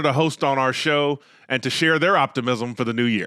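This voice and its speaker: Talking at a fairly quick pace with a North Florida accent, a man has a bright, sharp tone and ordinary pitch variation. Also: very clean recording, silent background. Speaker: podcast host. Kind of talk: interview.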